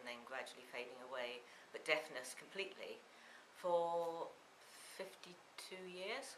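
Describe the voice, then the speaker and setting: The speech goes at a fairly slow pace with audible room echo. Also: woman. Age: 60s. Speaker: patient giving testimonial. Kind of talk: testimony.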